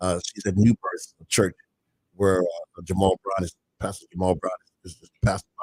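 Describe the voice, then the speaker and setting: Speaking at a moderate pace, a man uses a fairly low pitch and monotone, flat intonation. His loudness rises and falls in big swings. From Baltimore. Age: 70s. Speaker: minister and recovery radio broadcaster. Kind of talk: casual talk show interview with testimony. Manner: halting, many repeats and fillers.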